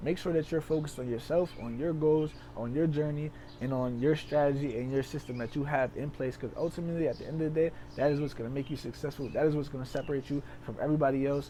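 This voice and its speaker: A dark, mellow tone at a very fast pace with fairly even intonation. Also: man, fairly high pitch for a man. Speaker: trading educator. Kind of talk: tutorial.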